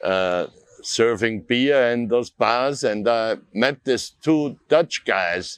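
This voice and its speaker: A man's medium-pitched voice with an Austrian accent, very slow pace and ordinary pitch variation. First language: German. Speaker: artist. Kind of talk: interview.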